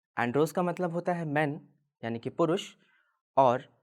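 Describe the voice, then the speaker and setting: A man is speaking. His intonation is lively. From Delhi, India. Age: 20s. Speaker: androgynous model. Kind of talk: personal testimony talk.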